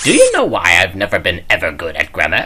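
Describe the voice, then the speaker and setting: A put-on character voice at a fairly quick pace. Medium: audio drama. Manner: jokey, loose.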